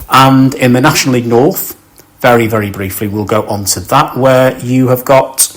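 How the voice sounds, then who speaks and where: Noticeable background noise sits behind the speech. The pace is moderate and the pitch varies in an ordinary way. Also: man, medium pitch for a man. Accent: northern English. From northern England, Cheshire/Merseyside area. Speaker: football podcast host. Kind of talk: casual chat. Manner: casual, with fillers.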